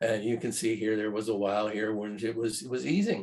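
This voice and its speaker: With a Midwestern American accent, a man speaks with fairly even intonation. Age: 70s. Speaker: farmer and commodity market analyst. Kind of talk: webinar presentation. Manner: halting, many fillers.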